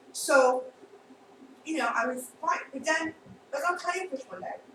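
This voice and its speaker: Noticeable background noise sits behind a woman with a Long Island accent. She speaks in an animated tone at a moderate pace. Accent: Long Island New York. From Long Island, New York. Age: 50s. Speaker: actress. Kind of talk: casual chat.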